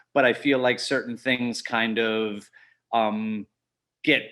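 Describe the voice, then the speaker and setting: Loud and bright, a man with an American accent speaks in a sharp tone with ordinary pitch variation. The recording is very clean, with a silent background. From New York. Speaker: skydiving instructor. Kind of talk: seminar presentation.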